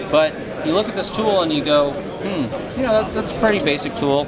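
A man's fairly slow speech competes with loud background noise. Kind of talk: product demonstration. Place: hall. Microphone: phone near.

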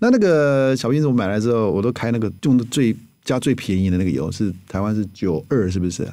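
Lively in intonation, a man with a dark, mellow tone and medium pitch talks at a fairly quick pace on a very clean recording with a silent background. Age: 50s. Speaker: physician and health author. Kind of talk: interview.

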